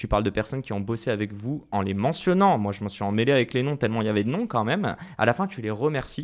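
Energetic in tone, a man speaks very fast at a medium pitch with lively intonation. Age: 30s. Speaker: podcast host. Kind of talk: casual interview.

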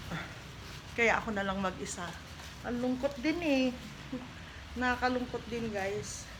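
A woman's high-pitched voice with long, frequent pauses, audible room echo and noticeable background noise. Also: ordinary pitch variation, fairly slow pace. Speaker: vlogger. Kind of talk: casual vlog talk to camera. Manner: not as loud as before.

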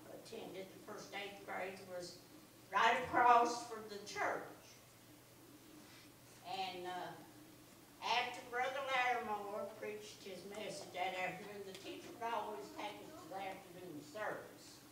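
A woman with long, frequent pauses, noticeable background noise and audible room echo. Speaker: churchgoer sharing testimony. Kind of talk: church testimony. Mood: earnest, reflective. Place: church.

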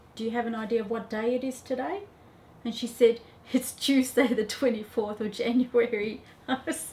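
With an Australian accent, a woman speaks at a high pitch. Her pace is fairly slow. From Australia (Melbourne). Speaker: mother of patient. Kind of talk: testimony. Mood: warm, amazed, emotional. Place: office.

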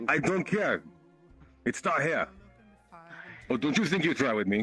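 A man puts on a gruff character voice, pitched fairly high, with very wide pitch swings, a moderate pace and very even loudness over music in the background. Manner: gruff, broken English, pushy.

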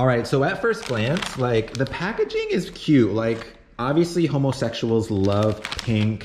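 A man at a fairly slow pace over light background noise. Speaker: vlogger. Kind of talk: casual vlog chat. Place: home room. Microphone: phone near.

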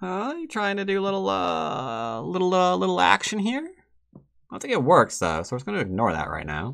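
A man with an American accent speaks at a fairly quick pace against a quiet background. His pitch swings very widely. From United States. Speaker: Go player and teacher; teacher. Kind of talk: commentated game tutorial. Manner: casual, animated. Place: home room.

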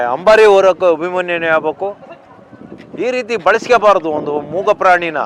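Over noticeable background noise, a high-pitched man talks with ordinary pitch variation. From Karnataka Malnad region. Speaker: elephant operations expert. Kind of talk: interview.

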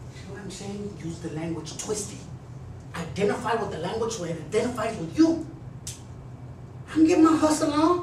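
A man with a high pitch and an American accent, at a moderate pace with long, frequent pauses, amid noticeable background noise and audible room echo. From Texas. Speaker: motivational speaker and former gang member. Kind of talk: motivational talk to students. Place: classroom. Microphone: camera far.

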